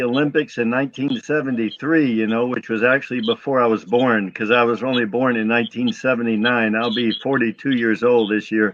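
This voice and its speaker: An unremarkable speaking voice from a man, fairly quick, with ordinary pitch variation. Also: hardly any pauses. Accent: American. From US. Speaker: retired kickboxing champion and martial arts promoter. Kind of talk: interview on a live web show.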